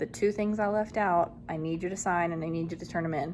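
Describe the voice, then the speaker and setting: Here a woman talks at a fairly quick pace with vocal fry. Her pitch is fairly low, with ordinary variation. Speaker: elementary school teacher vlogger. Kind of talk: casual vlog. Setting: classroom.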